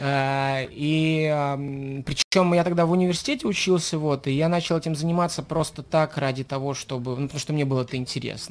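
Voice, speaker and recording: A man's fairly high voice at a moderate pace. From Saint Petersburg, Russia. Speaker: rapper. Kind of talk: radio interview.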